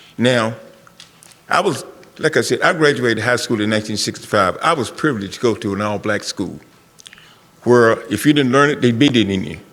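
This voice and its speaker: With an American accent, a man speaks at a medium pitch and lively intonation. Long, frequent pauses break his speech over noticeable background noise. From US South. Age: 70s. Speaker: community member, Vietnam veteran. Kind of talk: public forum comment. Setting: school forum with audience.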